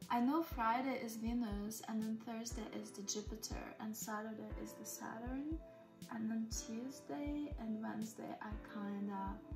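A woman talks very slowly while clear music plays behind her. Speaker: spiritual energy healer and hypnotherapist. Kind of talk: casual soft-spoken ASMR dialogue about time and femininity. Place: home room. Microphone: phone near.

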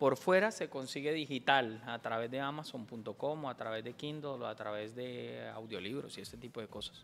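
Loudness swings widely over light background noise as the speech moves at a moderate pace with ordinary pitch variation and hardly any pauses. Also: man, medium pitch for a man. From Colombia, Bucaramanga; Colombia. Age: 40s. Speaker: comedian. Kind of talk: casual chat. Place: studio. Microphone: studio mic.

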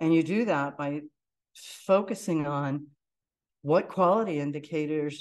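A woman's very deep, low voice with an American accent, fairly slow, with ordinary pitch variation. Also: quiet background. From Pittsburgh, US. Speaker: entrepreneur; presenter. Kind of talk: lecture. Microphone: video call.

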